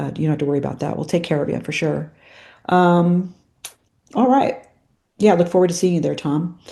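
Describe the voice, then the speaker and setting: A woman's fairly low voice, dark and mellow in tone, at a fairly quick pace with long, frequent pauses. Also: ordinary pitch variation. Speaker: options trading educator. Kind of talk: webinar sales presentation. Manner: fast; hesitant, many fillers.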